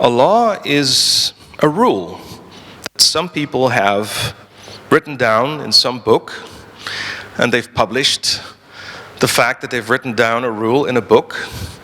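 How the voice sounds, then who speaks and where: With a Dutch accent, a man speaks at a fairly slow pace in a medium pitch with ordinary pitch variation, leaving long, frequent pauses against noticeable background noise. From Netherlands. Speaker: lawyer and libertarian activist. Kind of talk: conference talk. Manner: halting, with frequent repetitions.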